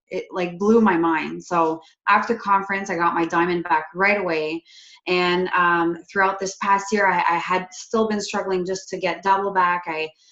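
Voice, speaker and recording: Her intonation stays fairly even. This woman speaks with a slight Quebec accent. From Quebec, Canada. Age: 20s. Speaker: network marketing distributor. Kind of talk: personal success story on a video call. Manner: casual, many fillers.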